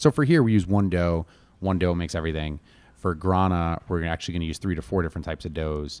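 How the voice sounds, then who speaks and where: In a very clean recording with a silent background, a man with an American accent talks very fast at a very deep, low pitch. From Connecticut, US. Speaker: chef and restaurant owner. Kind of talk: casual interview chat. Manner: animated.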